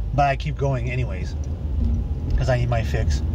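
The sound is dry with no echo, and loud background noise is present. A man speaks at a moderate pace. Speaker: vlogger. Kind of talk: casual vlog chat. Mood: grumbling, annoyed. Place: car.

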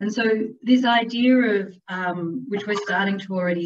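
A woman's somewhat breathy voice at a moderate pace. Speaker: presenter. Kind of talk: presentation talk. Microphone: webcam.

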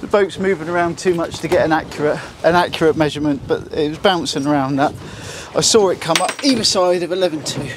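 A man talks at a fast pace with a fairly high pitch. Faint background noise can be heard. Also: ordinary pitch variation.

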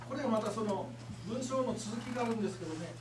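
A man's voice amid noticeable background noise. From Kurume, Fukuoka, Japan. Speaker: seminar lecturer. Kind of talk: seminar lecture to agents. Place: meeting room. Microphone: camera far.

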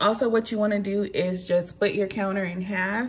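With ordinary pitch variation, a woman speaks at a moderate pace. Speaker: home vlogger. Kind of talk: tutorial. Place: kitchen. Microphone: phone near.

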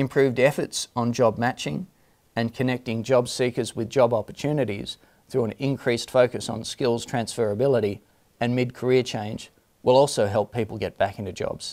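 At a moderate pace, a man talks in a medium pitch with a slightly mellow tone and fairly even intonation.

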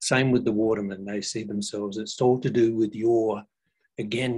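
A man speaks at a moderate pace in a fairly low voice with flat, monotone intonation. The background is quiet. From Australia. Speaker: cultural educator, former social worker. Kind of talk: educational talk. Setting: video call. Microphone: video call.

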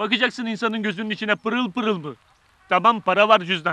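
With a raised, projected voice and ordinary pitch variation, a man speaks in a dry sound with no echo. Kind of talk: acted dialogue, comic storytelling. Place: street.

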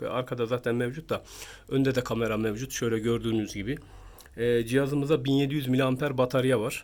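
This man's voice sits at a medium pitch. His intonation is flat and monotone. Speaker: phone review youtuber. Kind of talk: product review tutorial. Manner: halting, many filler sounds.

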